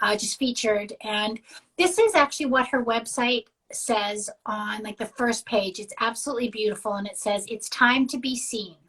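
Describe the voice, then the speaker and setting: Her bright, sharp, fairly high voice shows ordinary pitch variation and big swings in loudness as the woman talks at a moderate pace. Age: 50s. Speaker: podcast guest. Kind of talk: casual chat. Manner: halting.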